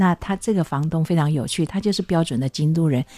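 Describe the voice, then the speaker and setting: A woman with a very deep, low pitch and a dark, mellow tone talks at a fairly quick pace with ordinary pitch variation, in a dry, close sound with no echo. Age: 60s. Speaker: author and translator. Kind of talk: interview. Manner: frequent fillers and hesitations.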